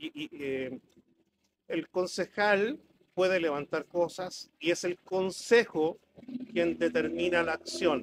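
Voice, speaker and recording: With noticeable background noise behind him, a man with a high pitch speaks very slowly, leaving long, frequent pauses, his pitch varying in an ordinary way. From Chile, rural Melipilla; Chile. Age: 60s. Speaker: businessman and council candidate; council candidate. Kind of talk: political debate. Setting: café with live audience. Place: cafe. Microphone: handheld.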